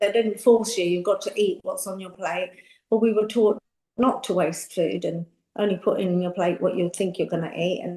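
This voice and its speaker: A woman with a London accent and a dark, mellow tone speaks at a moderate pace and a medium pitch. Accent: British English, London. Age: 60s. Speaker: makeup artist and beauty entrepreneur. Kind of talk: interview conversation. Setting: podcast. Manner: animated.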